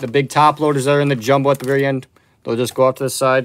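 Light background noise accompanies a man talking at a very fast pace with monotone, flat intonation. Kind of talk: live stream card break commentary. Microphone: phone near.

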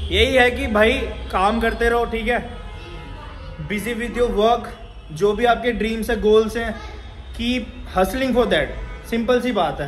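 Faint music plays in the background as a man with an extremely high pitch and fairly even intonation talks at a fairly slow pace, with long, frequent pauses. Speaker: gym owner vlogger. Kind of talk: casual vlog chat. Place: gym. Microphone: phone near.

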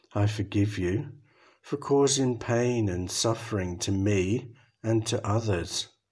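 A man with an English accent, somewhat breathy and calm in tone, at a very slow pace. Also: ordinary pitch variation. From England. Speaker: Buddhist monk, meditation guide. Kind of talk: guided meditation. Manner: calm, slow.

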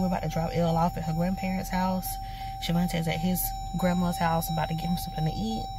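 Music plays in the background of a dry recording with no echo. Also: woman. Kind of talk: casual vlog chat. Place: car. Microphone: phone near.

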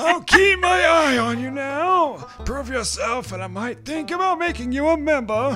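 Clear music plays behind a man doing a put-on character voice, raised and projected, at an extremely high pitch and a moderate pace. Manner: stern, testing.

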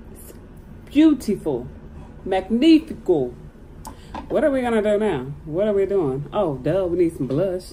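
A woman at a fairly slow pace, very wide pitch swings, light background noise. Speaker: beauty vlogger. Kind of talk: casual makeup tutorial chat. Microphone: phone near.

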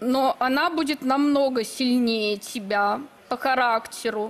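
A woman speaks at a high pitch. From Belarus. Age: 20s. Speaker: bride contestant, self-described witch. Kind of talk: TV talk show interview.

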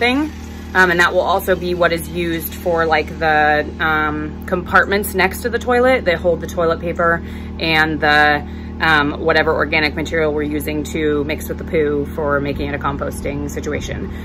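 A woman talks at a moderate pace. Music sits in the background. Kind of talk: casual vlog chat. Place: bus. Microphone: phone near.

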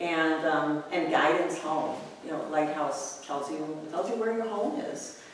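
A woman speaks at a very deep, low pitch with ordinary pitch variation and a fairly slow pace. Strong room echo and light background noise surround her. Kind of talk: lecture. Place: classroom.

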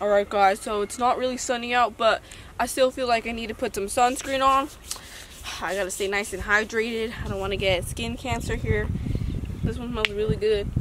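The sound is dry with no echo. There is noticeable background noise behind it. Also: woman, fairly quick pace. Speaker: hiking vlogger. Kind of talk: casual vlog chat. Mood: playful, mock-dramatic. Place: open country.

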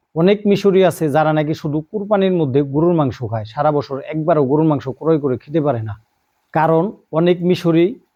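A man with a fairly high pitch speaks with ordinary pitch variation. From Bangladesh, Dhaka area. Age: 40s. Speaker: YouTuber and migrant worker. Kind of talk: vlog monologue. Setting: outdoors by the sea.

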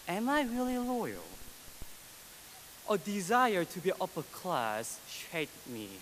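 A man with an East Asian accent talks at a slow pace in a high pitch, with big pitch swings and a fairly bright tone.

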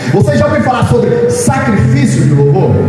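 A man speaks with strong room echo and clear music in the background. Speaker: preacher. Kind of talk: sermon. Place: church. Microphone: camera far.

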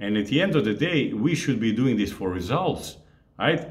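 Quiet surrounds a man's voice. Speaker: fitness coach. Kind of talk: casual vlog chat. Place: home room.

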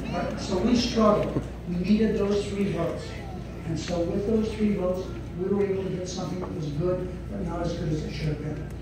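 A fairly quick speaker comes through strong room echo and noticeable background noise. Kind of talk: political speech. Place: hall. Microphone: pa.

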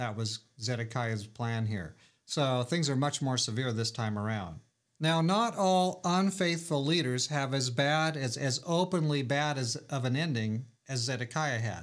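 Lively intonation at a fairly slow pace, against a quiet background. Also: man. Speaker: pastor. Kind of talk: sermon. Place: office.

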